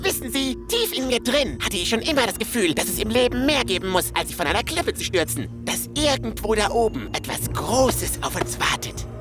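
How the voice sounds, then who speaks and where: A cartoonish character voice speaks at a moderate pace over loud music in the background. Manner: eager, creepy cheerful.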